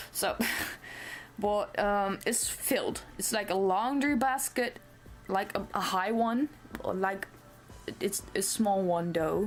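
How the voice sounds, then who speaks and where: A woman with a non-native accent speaks at a very slow pace with long, frequent pauses. Music plays in the background. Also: medium pitch for a woman, ordinary pitch variation. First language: not English. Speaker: cosplay vlogger. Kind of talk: casual vlog. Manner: rambling with fillers and self-corrections.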